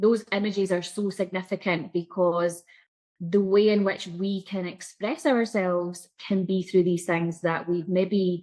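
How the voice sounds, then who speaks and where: Against a quiet background, a woman with a Scottish accent speaks at a moderate pace in a medium pitch with monotone, flat intonation. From Scotland. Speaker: psychic coach. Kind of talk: interview.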